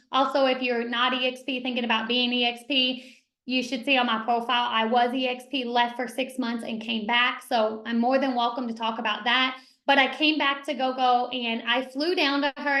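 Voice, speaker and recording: Fairly quick delivery with audible room echo. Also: woman. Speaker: real estate team leader. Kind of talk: panel training discussion. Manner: talks fast when excited.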